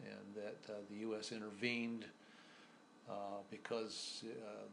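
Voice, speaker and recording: In an American accent, a man speaks at a fairly slow pace with a fairly low pitch. His intonation stays monotone and flat, and there is audible room echo. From US Midwest and New Mexico. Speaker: oral history interviewee. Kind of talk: interview. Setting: in-person interview. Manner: halting, many fillers.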